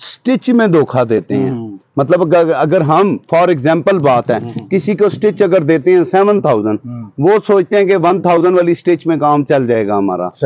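Loudness stays very even as the lively intonation plays out in a dry sound with no echo. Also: man, high pitch for a man. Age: 40s. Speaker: shopkeeper. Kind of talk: interview and product showcase. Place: shop. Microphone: lapel.

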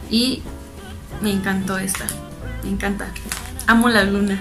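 A woman speaks in a cheerful, upbeat tone. Faint music plays in the background. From Tijuana, Baja California, Mexico. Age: 20s. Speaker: fashion and beauty YouTuber. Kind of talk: casual talk to camera. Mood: cheerful, enthusiastic. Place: home room.

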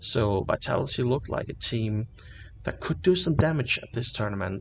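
Here is a man with a medium pitch and lively intonation. His voice is somewhat breathy. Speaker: esports news presenter. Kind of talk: esports predictions talk to camera.

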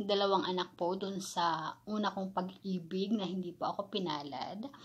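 Her voice sits at a medium pitch and sounds somewhat breathy as this woman speaks. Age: 30s. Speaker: vlogger, overseas worker; vlogger. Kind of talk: casual vlog Q&A. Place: home room. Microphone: phone near.

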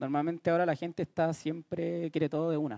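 Over a quiet background, a man with a dark, mellow tone speaks fairly quickly at a fairly high pitch. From Chile. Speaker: music producer. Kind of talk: workshop lecture. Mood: relaxed, joking. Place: hall. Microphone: headset.

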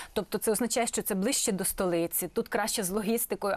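Her pitch fairly high and her intonation fairly even, a woman speaks at a very fast pace. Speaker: TV host. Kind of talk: TV interview. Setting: studio.

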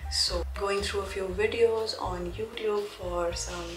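A woman speaking at a fairly slow pace over clear background music. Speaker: vlogger. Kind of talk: casual vlog chat. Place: home room. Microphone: phone near.

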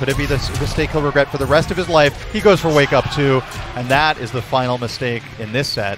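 Over music in the background, a man speaks in an energetic tone at a fairly quick pace, with a dry sound and no echo. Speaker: esports commentator. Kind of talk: live esports match commentary. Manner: analytical, energetic. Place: hall. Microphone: headset.

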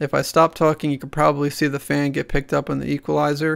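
The pace is fairly quick on a very clean recording with a silent background. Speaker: gaming streamer and tutorial youtuber. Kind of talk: tutorial.

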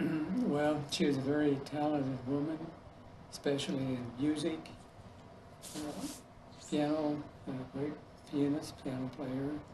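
Amid noticeable background noise, a man with a fairly high pitch talks fairly slowly and evenly, pausing long and often. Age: 80s+. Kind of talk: oral history interview answer.

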